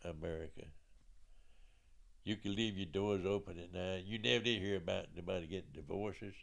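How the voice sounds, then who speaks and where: Here is a man with an Alabama accent. His pitch sits fairly low. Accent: Southern US (Alabama). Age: 80s+. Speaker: military veteran. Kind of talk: life story interview. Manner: halting.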